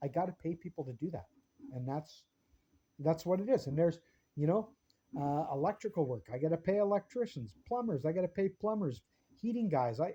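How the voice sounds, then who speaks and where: With a Canadian accent, a man with a high pitch and a dark, mellow tone speaks at a fairly quick pace with lively intonation, broken up by long, frequent pauses. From small-town British Columbia, Canada. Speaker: vlogger. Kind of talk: casual opinion vlog. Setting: home workshop. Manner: animated; halting, stumbling over words.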